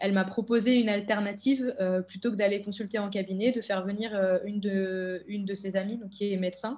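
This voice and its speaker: A woman talks at a fairly quick pace in a flat monotone, barely pausing, with faint music in the background. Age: 20s. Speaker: elite triathlete. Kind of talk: testimony. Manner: hesitant, many filler words. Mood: reflective, subdued. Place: home room. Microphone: webcam.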